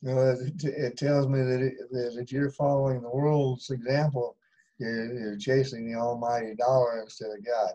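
A man talks in a flat monotone at a moderate pace. The background is quiet. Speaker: bible class participant. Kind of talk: casual discussion. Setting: video call. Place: home room. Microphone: video call.

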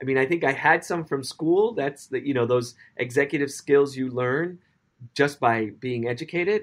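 In an American accent, a man with an unremarkable speaking voice talks at a moderate pace, his pitch fairly high and his intonation lively. The recording is very clean and the background silent. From US Northeast, the Bronx, New York City. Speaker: dance company director. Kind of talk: interview.

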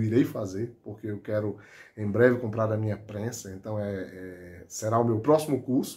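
The speech moves at a moderate pace. The voice is somewhat breathy. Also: man. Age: 40s. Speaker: high school teacher and hobby knifemaker; high school teacher. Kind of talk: testimonial. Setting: home workshop. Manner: halting. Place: workshop.

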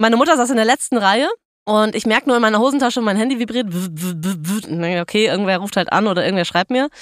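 The speech runs at a very fast pace in an animated tone with lively intonation. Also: woman, fairly high pitch for a woman. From western Germany, Ruhr/Rhineland area. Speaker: podcast co-host. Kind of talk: casual chat.

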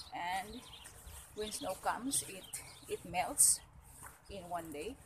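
Light background noise under a woman's voice and its ordinary pitch variation. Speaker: vlogger. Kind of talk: casual vlog chat. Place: street. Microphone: phone near.

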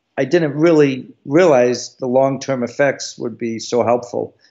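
A man's plain, everyday voice at medium pitch, moderate pace and fairly even intonation. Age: 60s. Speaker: retired Navy SEAL and author. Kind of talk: interview.

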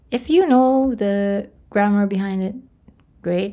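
Speaking at a fairly slow pace, a woman has a dark, mellow tone and a medium pitch with ordinary pitch variation. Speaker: Quran memorization teacher / YouTuber. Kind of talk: tutorial. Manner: casual, with many filler sounds.

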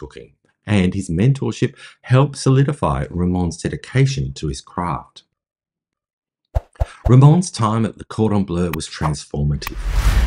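Here a man speaks at a fairly low pitch. His pitch swings very widely, with light background noise. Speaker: podcast host. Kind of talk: narrated storytelling. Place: home room. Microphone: phone near.

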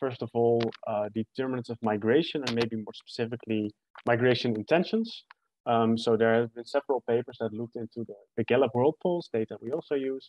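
The man's voice has a dry sound with no echo. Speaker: presenter. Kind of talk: academic presentation. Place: home room. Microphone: webcam.

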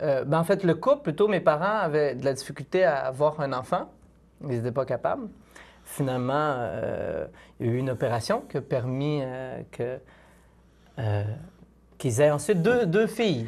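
Lively intonation at a moderate pace, broken by long, frequent pauses. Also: man, fairly high pitch for a man. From Quebec, Île d'Orléans; Quebec. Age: 20s. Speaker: philosophy doctoral student and speaker; speaker. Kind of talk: testimony. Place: studio.

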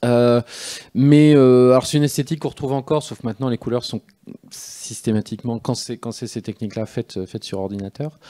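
At a fairly quick pace, a man speaks with a dark, mellow tone over a quiet background. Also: medium pitch for a man, ordinary pitch variation. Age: 40s. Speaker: comic book author. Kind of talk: live interview on stage. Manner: halting, many hesitations and repetitions. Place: stage. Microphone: handheld.

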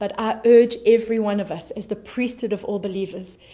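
A woman with a South African accent speaks at a fairly high pitch in a dark, mellow tone. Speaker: pastor. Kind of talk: sermon. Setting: online church service video. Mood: warm, encouraging. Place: studio.

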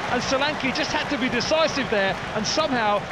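An animated man's voice at an extremely high pitch, a fairly quick pace and ordinary pitch variation, over noticeable background noise. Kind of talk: live football commentary. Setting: match commentary over highlights footage. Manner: fast, animated play-by-play delivery; excitable on key moments like the red card.

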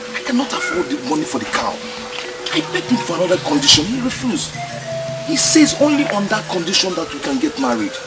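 With loud music in the background, a man speaks at a very fast pace. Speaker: film actor. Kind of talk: dramatic film dialogue. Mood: distressed, pleading. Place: open country.

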